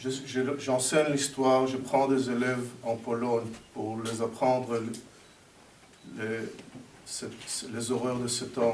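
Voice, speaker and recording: A man with a non-native accent and medium pitch speaks at a fairly slow pace. The recording has audible room echo and noticeable background noise. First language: not French (speaking French). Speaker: history teacher. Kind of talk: ceremony speech. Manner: halting.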